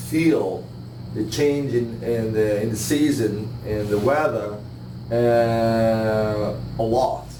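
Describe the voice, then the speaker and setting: Amid noticeable background noise and audible room echo, a man speaks very slowly at a medium pitch with ordinary pitch variation. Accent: Italian. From Italy, Milan. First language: Italian. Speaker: bonsai master. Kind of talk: live demonstration talk. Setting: room with live audience. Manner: hesitant, many fillers.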